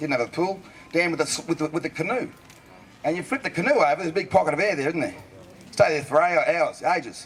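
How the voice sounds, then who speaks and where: A man with an Australian accent talks very fast in a high voice with ordinary pitch variation, leaving long, frequent pauses. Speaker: bush poet. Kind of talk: comic storytelling to a live audience. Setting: live outdoor event. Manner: casual, joking.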